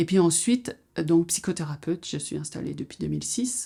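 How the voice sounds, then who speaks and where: A woman's fairly low voice with a dark, mellow tone, on a very clean recording with a silent background. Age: 60s. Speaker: psychotherapist. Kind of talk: personal introduction monologue. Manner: hesitant, with frequent fillers.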